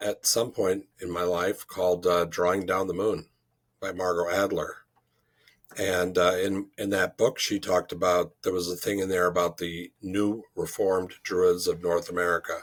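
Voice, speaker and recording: A man's very deep, low voice delivers flat, monotone intonation at a moderate pace. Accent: Chicago. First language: French. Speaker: druid leader. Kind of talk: interview.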